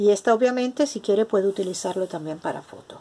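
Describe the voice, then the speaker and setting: Pitch varies in an ordinary way. The voice belongs to a woman. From Spain. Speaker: craft video maker. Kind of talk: tutorial. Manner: casual. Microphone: phone near.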